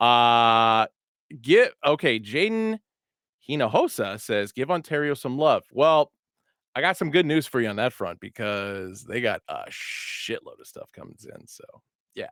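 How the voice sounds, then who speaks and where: A man with a fairly high voice talks with very wide pitch swings and big swings in loudness. The sound is dry and close with no echo, on a very clean recording with a silent background. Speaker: hat retailer show host. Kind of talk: casual live stream chat. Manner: stuttering a bit today.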